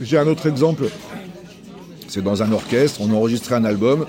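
Noticeable background noise surrounds the man's medium-pitched voice. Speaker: jazz musician. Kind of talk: casual interview. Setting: brasserie. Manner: hesitant, repeats words.

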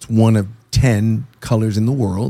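The man's voice sits at medium pitch with a dark, mellow tone. His pitch varies in an ordinary way. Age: 50s. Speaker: car collector and show host. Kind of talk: casual chat, podcast interview. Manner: loud, animated.

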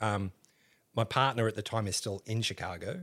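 A man with an Australian accent, medium-pitched and bright, sharp in tone, lively intonation at a moderate pace, on a very clean recording with a silent background. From Australia, Canberra. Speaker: historian and museum educator. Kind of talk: casual interview chat. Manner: animated storytelling, laughs often.

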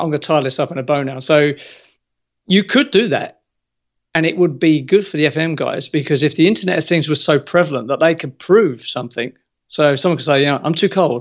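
Here a man is talking. His pace is fairly quick, with ordinary pitch variation. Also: fairly high pitch for a man. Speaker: construction industry expert. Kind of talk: interview. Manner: animated.

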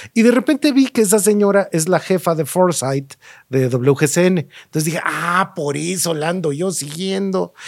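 A man's high voice in a Mexico City accent, lively in intonation and moderate in pace. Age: 50s. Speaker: market research and trend analyst, designer. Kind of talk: interview conversation.

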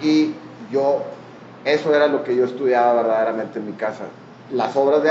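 A man with a Mexican accent, ordinary pitch variation, noticeable background noise and audible room echo. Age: 40s. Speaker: artist and architect. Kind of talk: casual interview.

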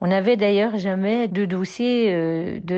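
Her pitch is medium for a woman, her intonation fairly even, and she speaks at a very slow pace. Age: 60s. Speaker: grandmother. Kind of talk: testimony.

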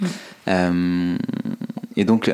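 A man's voice with ordinary pitch variation. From France, Ain (Oyonnax). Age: 30s. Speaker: fashion entrepreneur and podcaster. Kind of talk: interview. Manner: halting, many fillers and repetitions.

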